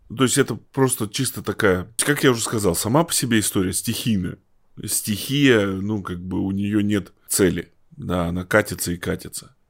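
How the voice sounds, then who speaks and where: Recorded very cleanly against a silent background, a man speaks at a moderate pace with a fairly low pitch and ordinary pitch variation. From Russia, Tomsk (Siberia). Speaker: journalist and local historian, novelist. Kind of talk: interview. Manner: halting, many fillers.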